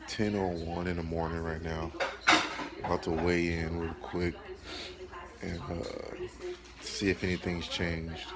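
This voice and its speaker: A man speaks at a fairly slow pace. Long, frequent pauses break up his speech over loud background noise. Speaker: fitness vlogger. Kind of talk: casual vlog chat. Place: home room. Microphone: phone near.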